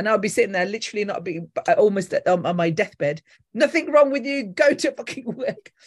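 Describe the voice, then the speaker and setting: Somewhat breathy and fairly high-pitched, a woman speaks at a fairly quick pace with very wide pitch swings. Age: 50s. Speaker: former radio presenter. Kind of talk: casual chat.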